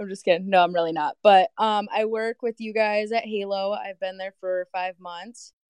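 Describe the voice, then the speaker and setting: A woman with an ordinary speaking voice, medium-pitched, fairly even in intonation, at a moderate pace with hardly any pauses and big swings in loudness, in a dry, close sound with no echo. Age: 20s. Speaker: coworker guest. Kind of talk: casual chat.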